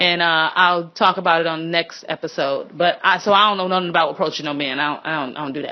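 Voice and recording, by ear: A woman talks at a fast pace in a low voice with fairly even intonation.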